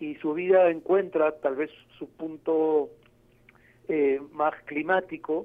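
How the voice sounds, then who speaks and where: Flat, monotone delivery from a man pitched fairly high. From Peru. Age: 40s. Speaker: novelist and journalist. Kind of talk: interview. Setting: phone call. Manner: halting, many fillers.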